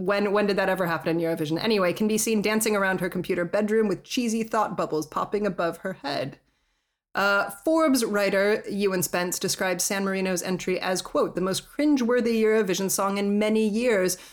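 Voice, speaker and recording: Heard in a very clean recording with a silent background, a woman with an unremarkable speaking voice talks at a fairly quick pace and a medium pitch with ordinary pitch variation. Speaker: podcast host. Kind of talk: casual interview conversation.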